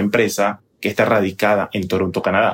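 A man at a moderate pace, fairly low in pitch, with an unremarkable speaking voice. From Panama. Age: 30s. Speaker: TV journalist. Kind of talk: interview.

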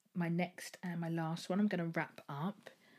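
A woman with an English accent speaks at a fairly low pitch in a somewhat breathy voice. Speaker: podcast host. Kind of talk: casual solo monologue. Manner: chatty, rambling.

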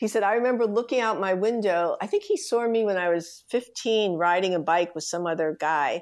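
In a plain, everyday voice, a woman speaks at medium pitch with ordinary pitch variation and hardly any pauses against a quiet background. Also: fairly quick pace. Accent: American. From US Northeast, New York City (the Bronx). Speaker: design executive. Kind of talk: interview.

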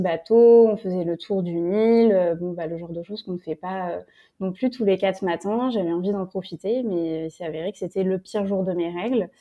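A woman's medium-pitched voice, moderate in pace, with fairly even intonation. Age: 20s. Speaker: fashion brand founder. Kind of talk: interview. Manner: hesitant, many fillers.

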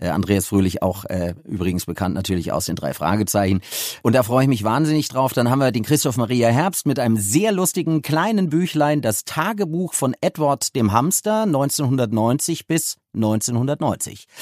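Recorded very cleanly against a silent background, with a dry, close sound and no echo, a man speaks at a moderate pace in a medium pitch that swings very widely. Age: 50s. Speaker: audiobook producer. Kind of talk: interview. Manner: halting, many fillers.

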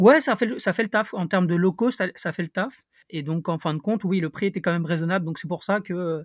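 The speech runs at a fairly quick pace with ordinary pitch variation. The sound is dry and close, with no echo. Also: man, high pitch for a man, quiet background. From Paris, France. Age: 20s. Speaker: traveller. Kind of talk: casual chat.

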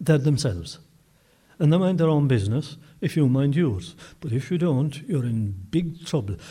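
Somewhat breathy and dark, mellow in tone, this man's voice sits at a fairly high pitch with ordinary pitch variation and a moderate pace. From Kerry, Ireland. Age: 70s. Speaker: storyteller and folklore collector. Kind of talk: casual interview chat.

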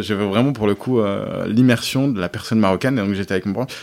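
A man's medium-pitched voice shows ordinary pitch variation on a very clean recording with a silent background. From France, Auvergne (Thiers, Puy-de-Dôme). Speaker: startup co-founder. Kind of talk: interview. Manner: hesitant, many fillers.

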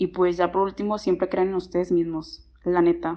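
Her delivery is monotone, with flat intonation, at a moderate pace. The woman's pitch sits in the medium range. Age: 20s. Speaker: student and clothing brand founder. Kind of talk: personal testimony.

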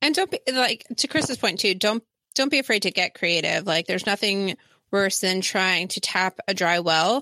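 With an American accent, a woman speaks at a moderate pace and medium pitch in a bright, sharp tone. Her intonation is lively, and the recording is very clean with a silent background. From New Jersey. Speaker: podcast co-host, educator. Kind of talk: casual chat.

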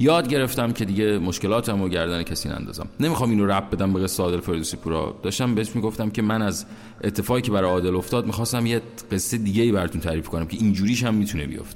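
Over noticeable background noise, a man with a fairly low pitch speaks at a very fast pace with ordinary pitch variation. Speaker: podcast host. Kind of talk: personal monologue.

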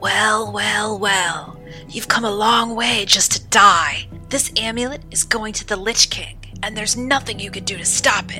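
In a put-on character voice, a female-sounding speaker talks raspy and at a fairly high pitch, at a moderate pace, with clear music in the background. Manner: snarling, menacing.

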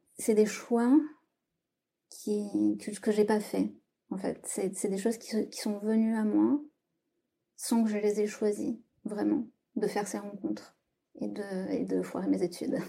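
Long pauses come often as the woman talks at a very slow pace. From southwest France. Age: 30s. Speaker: writing workshop leader. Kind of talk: testimony. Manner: hesitant, with many fillers and repetitions.

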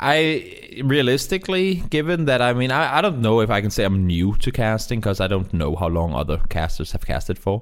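A man with a non-native accent speaks at medium pitch and a fairly quick pace, with hardly any pauses. His pitch swings very widely while his loudness stays very even, over noticeable background noise. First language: not English. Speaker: esports commentator. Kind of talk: interview.

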